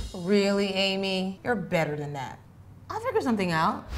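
Speaking at a moderate pace, a woman with an unremarkable speaking voice keeps a medium pitch and ordinary pitch variation. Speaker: comedian, actress. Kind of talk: sitcom dialogue.

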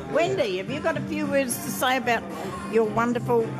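Moderately paced speech over clear music in the background. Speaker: interviewer. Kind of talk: casual interview chat. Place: cafe. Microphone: phone near.

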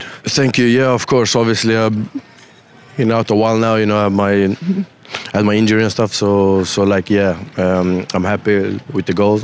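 Noticeable background noise runs under the recording. A man talks at a moderate pace in a fairly low pitch with fairly even intonation. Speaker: professional footballer. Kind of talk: post-match interview answer.

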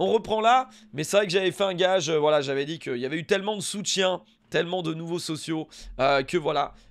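A man speaks with a high pitch at a fairly quick pace. The recording is very clean, with a silent background. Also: ordinary pitch variation. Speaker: gaming youtuber. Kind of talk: casual gameplay commentary. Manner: animated, enthusiastic.

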